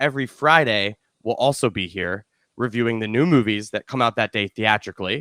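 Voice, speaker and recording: Speaking fairly quickly with an American accent, a man uses a medium pitch, a bright, sharp tone and ordinary pitch variation on a very clean recording with a silent background. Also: dry, close sound with no echo. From Chicago suburbs, Illinois. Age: 30s. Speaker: film critic and podcast host. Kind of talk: podcast conversation.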